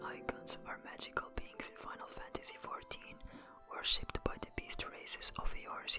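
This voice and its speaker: Someone whispers at a moderate pace in a non-native accent while music plays in the background. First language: not English. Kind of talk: ASMR lore narration. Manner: whispered.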